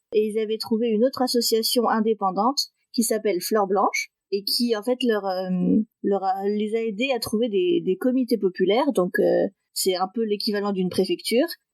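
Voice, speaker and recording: At a moderate pace, a woman speaks with a fairly high pitch and ordinary pitch variation, in a dry, close sound with no echo. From northeastern France (Metz). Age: 20s. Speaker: interview guest sharing adoption story. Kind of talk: podcast interview, personal testimony. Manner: hesitant, many fillers.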